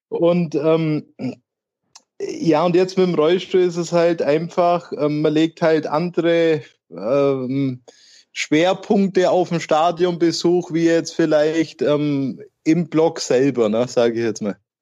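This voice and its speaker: With long, frequent pauses, a man speaks at a very slow pace in a high pitch with a dark, mellow tone. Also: ordinary pitch variation, quiet background. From Nördlingen, Bavaria on the Württemberg border. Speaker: football fan, wheelchair user, early retiree. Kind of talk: casual chat.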